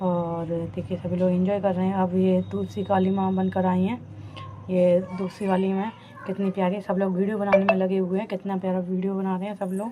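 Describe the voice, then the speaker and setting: A woman talks at a moderate pace and medium pitch in a monotone, flat intonation. Noticeable background noise runs behind her. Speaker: vlogger. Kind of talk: vlog narration. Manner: halting.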